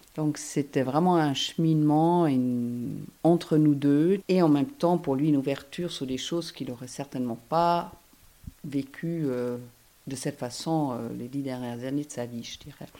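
In a German accent, a woman with a very deep, low pitch and a dark, mellow tone speaks at a fairly slow pace, with ordinary pitch variation and big swings in loudness, in a very clean recording with a silent background. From Germany, Hamburg. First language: German (speaking French). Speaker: energy therapist. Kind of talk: interview. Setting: on location. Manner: hesitant.

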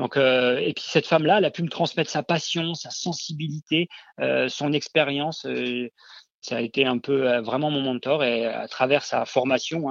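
With fairly high pitch and fairly even intonation, a man talks at a moderate pace, his loudness swinging widely. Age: 40s. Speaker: kinesiologist. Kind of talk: interview. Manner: hesitant, many fillers.

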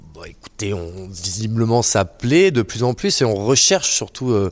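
A man at a moderate pace. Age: 30s. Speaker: chef. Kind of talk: interview. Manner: halting.

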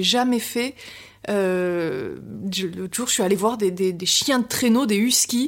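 A woman's unremarkable speaking voice with ordinary pitch variation at a fairly slow pace. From Biarritz, French Basque coast. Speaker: novelist. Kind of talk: interview. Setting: at the guest's home in Paris.

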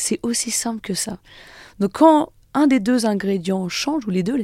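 With lively intonation, a woman's fairly high voice carries a dark, mellow tone, in a dry, close sound with no echo and a very clean recording against a silent background. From French Alps, Haute-Savoie (Annecy area). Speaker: glaciologist and author. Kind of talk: radio interview.

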